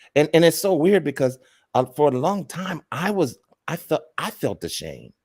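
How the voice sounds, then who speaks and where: Fairly high-pitched male voice with vocal fry, ordinary pitch variation and a moderate pace, in a very clean recording over a silent background. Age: 60s. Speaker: co-host. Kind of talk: testimony. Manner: halting.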